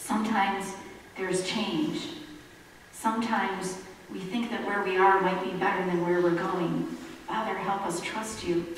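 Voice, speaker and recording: A woman at a moderate pace with ordinary pitch variation, long and frequent pauses, strong room echo, and light background noise. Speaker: pastor. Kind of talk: sermon. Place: church.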